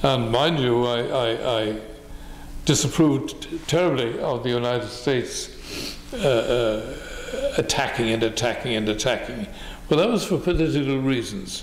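A man talks at a middling speed, his voice carrying audible room echo. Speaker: interviewee. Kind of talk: interview answer. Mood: reflective, mildly scornful. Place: home room.

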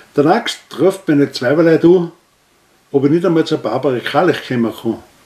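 Someone speaks with an Austrian accent at a moderate pace, with ordinary pitch variation. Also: man. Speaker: dialect poet. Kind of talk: poetry reading. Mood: humorous storytelling. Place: home room. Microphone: camera far.

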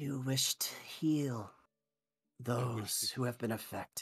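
Whispering in a raspy, put-on character voice, the speaker goes at a fairly slow pace. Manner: distant whisper inside the mind.

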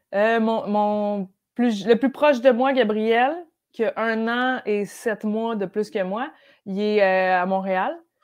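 At a very slow pace, a woman speaks with a fairly high pitch and fairly even intonation over a quiet background. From Quebec (Brossard and Outaouais). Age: 30s. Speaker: comedian. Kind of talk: casual chat. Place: home room. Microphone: earbuds.

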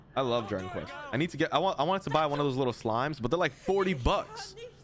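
Noticeable background noise sits behind this man's fairly high voice. He sounds animated and moves at a fairly quick pace. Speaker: gaming streamer. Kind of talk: live stream chat while gaming. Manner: casual, animated.

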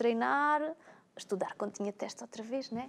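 Her voice is an unremarkable speaking voice, fairly high for a woman, with ordinary pitch variation. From Alentejo, Portugal. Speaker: personal trainer. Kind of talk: casual talk show chat. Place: studio.

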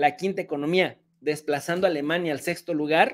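Talking at a moderate pace in an animated tone, a man speaks with a Mexican accent. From Mexico. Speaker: political commentator. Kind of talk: angry rant. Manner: sarcastic. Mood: argumentative, mocking. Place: home room.

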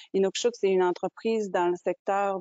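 Against a quiet background, a woman speaks at a fairly slow pace in a medium pitch. Her intonation is monotone and flat, and the sound is dry with no echo. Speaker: business owner; webinar panelist. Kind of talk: webinar presentation. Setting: video call. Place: home room. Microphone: earbuds.

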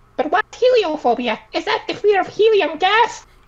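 Squeaky and extremely high-pitched, this put-on character voice moves at a moderate pace. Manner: silly.

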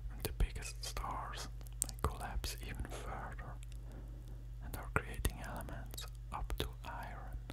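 A man whispers at a fairly slow pace. He is soft-spoken throughout. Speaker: science narrator. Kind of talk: educational narration. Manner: soft close-mic whisper. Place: studio. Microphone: studio mic.

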